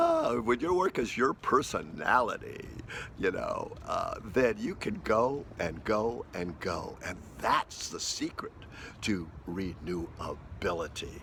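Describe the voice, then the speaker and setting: A man speaks at a very slow pace. Noticeable background noise runs behind him. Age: 70s. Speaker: spiritual teacher. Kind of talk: casual monologue to camera. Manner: halting, many fillers.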